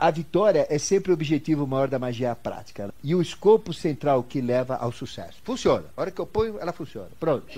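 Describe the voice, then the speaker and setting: Talking at a fairly quick pace with hardly any pauses, a man uses a fairly high pitch, lively intonation and a dark, mellow tone. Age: 70s. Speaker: esoteric teacher. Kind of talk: lecture. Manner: conversational, rhetorical questions.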